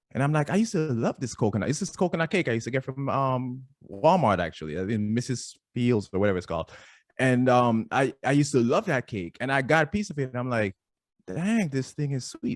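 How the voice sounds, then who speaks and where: On a very clean recording with a silent background and a dry, close sound with no echo, a man speaks with very wide pitch swings. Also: medium pitch for a man, fairly quick pace. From Jamaica. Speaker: fitness trainer. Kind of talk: podcast interview. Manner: casual, animated storytelling.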